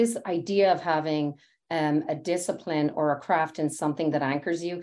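A woman speaks in a Dublin accent. The recording is very clean, with a silent background. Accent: Irish (Dublin). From Ireland, Dublin. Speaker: technology executive. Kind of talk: interview.

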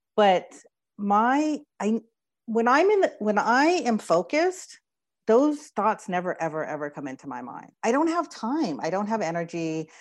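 A woman's fairly high voice at a moderate pace, with very wide pitch swings and big shifts in loudness, over a quiet background. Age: 50s. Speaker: business strategist. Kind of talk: interview.

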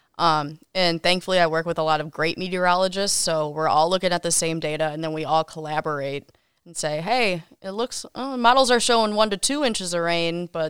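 A woman speaks fairly quickly at a fairly low pitch with ordinary pitch variation and big swings in loudness, in a plain, everyday voice. The recording is very clean, with a silent background and a dry, close sound with no echo. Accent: American. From Wisconsin, Kenosha. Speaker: TV meteorologist. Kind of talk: casual interview.

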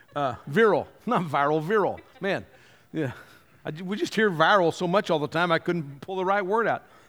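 This man has a high-pitched voice with ordinary pitch variation. He keeps a moderate pace. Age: 60s. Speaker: pastor. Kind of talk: sermon. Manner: conversational.

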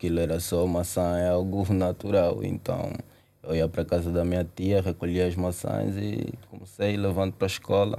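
Speaking with an Angolan accent at a moderate pace, a man uses a very deep, low pitch, a dark, mellow tone and fairly even intonation. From Angola, Luanda. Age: 20s. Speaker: young entrepreneur, company CEO. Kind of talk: interview.

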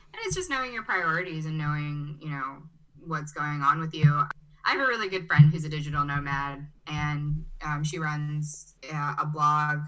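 In a room with audible echo, a woman's very deep, low voice holds fairly even intonation while her loudness swings widely. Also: moderate pace. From US Midwest, Chicago (born in Brazil). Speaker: agency owner, digital nomad. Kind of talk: interview.

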